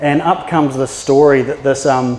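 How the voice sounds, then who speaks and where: Speaking with a New Zealand accent, a man has a medium pitch and fairly even intonation at a moderate pace. Noticeable background noise runs throughout. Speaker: maritime archaeologist. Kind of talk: public talk. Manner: casual, with filler words.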